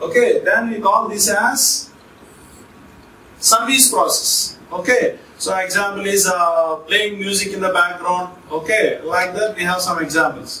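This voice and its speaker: A man uses a raised, projected voice at a fairly slow pace with ordinary pitch variation, with audible room echo and light background noise. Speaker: teacher. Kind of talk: lecture. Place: classroom.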